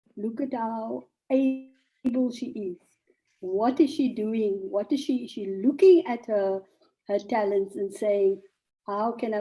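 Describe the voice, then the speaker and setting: A woman's dark, mellow tone at a fairly slow pace. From South Africa, Cape Town (District Six). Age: 60s. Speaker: journalist and author. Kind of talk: talk to an audience.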